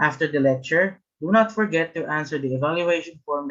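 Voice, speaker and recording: A man's fairly high voice with a Filipino accent. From Philippines. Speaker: webinar host. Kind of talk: event hosting. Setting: video call.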